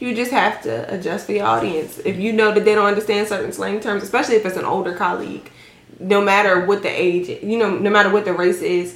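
Over noticeable background noise, a woman of medium pitch speaks very fast with fairly even intonation. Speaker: podcast guest. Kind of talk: casual, code-switches between slang and standard English.

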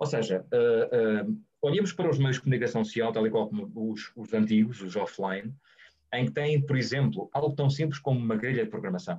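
This man's voice is somewhat breathy, with a dark, mellow tone, medium pitch, lively intonation and a fairly quick pace. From Portugal, Guarda. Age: 30s. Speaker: journalist and radio professional. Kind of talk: webinar interview. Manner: halting, many repetitions and fillers.

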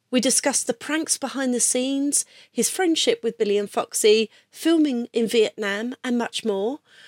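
Speaking with a British accent, a woman has a high pitch. The recording is very clean with a silent background and a dry, close sound with no echo. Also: ordinary pitch variation, moderate pace. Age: 50s. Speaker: podcast host. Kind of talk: scripted narration; interview.

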